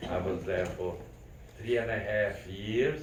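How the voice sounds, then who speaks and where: Audible room echo around a man speaking fairly slowly. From Carpathian region, Czechoslovakia. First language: not English. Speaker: Holocaust survivor. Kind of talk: testimony.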